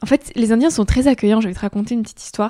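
A woman's dark, mellow tone at a fairly high pitch, on a very clean recording with a silent background. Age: 20s. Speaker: student and podcaster. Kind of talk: casual interview.

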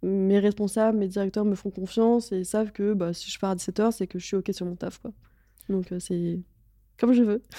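At a moderate pace, a woman speaks in a dark, mellow tone of medium pitch with a monotone, flat intonation, recorded very cleanly against a silent background. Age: 20s. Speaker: advertising strategic planner. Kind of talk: interview. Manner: casual, frequent laughter.

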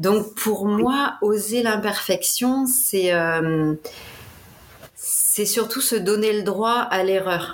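Room echo is audible as a woman speaks at a very slow pace. Her fairly high pitch shows ordinary variation, and her loudness stays very even. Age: 30s. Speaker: life coach. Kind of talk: interview.

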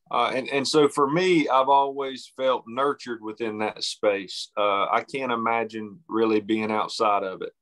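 A man with an Appalachian accent talks at a medium pitch. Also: ordinary pitch variation, fairly slow pace, hardly any pauses, dry, close sound with no echo. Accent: Southern Appalachian US. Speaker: novelist. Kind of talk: interview. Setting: phone call.

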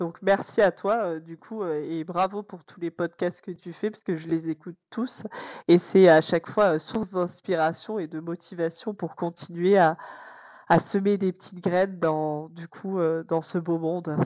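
Her pitch is fairly low, and her intonation stays fairly even. The woman speaks at a fairly slow pace with big swings in loudness. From France, Corrèze. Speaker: teacher. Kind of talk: podcast interview. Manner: hesitant, many fillers.

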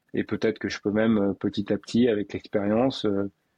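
A man speaks at a moderate pace in a fairly low pitch, his intonation flat and monotone. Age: 50s. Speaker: breathing coach. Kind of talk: interview conversation.

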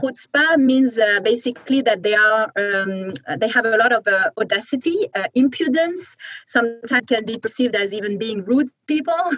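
In a French accent, a woman speaks at a fairly high pitch with lively intonation, the sound dry and close with no echo. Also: moderate pace. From France. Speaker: venture capital investor. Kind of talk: interview. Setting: video call.

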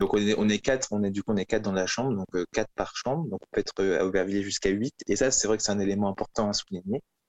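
Speaking at a very fast pace, a man uses a fairly low pitch with fairly even intonation and a dry, close sound with no echo. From France, Toulouse. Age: 20s. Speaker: law graduate, co-living resident. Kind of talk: podcast interview. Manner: halting.

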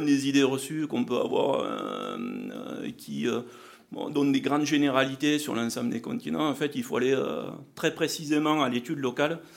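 A man speaks at a moderate pace in a southwestern French accent. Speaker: agricultural R&D manager. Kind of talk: conference presentation.

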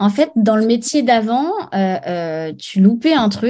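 A dark, mellow voice moves at a very slow pace with lively intonation over a quiet background. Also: woman. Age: 30s. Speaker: former radio host, interior decorator. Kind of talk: interview. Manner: halting, many fillers and repetitions.

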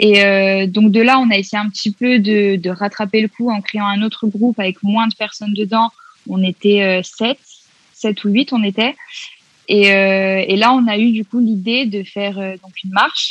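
A woman with a medium pitch talks fairly slowly in a monotone, flat intonation, her loudness swinging widely, in a dry, close sound with no echo. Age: 20s. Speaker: feminist activist and psychology student. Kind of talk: casual interview.

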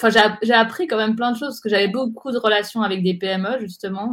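A woman's normal speaking voice at a medium pitch, with fairly even intonation and a fairly quick pace, in a very clean recording with a silent background. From Geneva, Switzerland. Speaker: digital strategy agency director and blogger. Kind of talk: interview.

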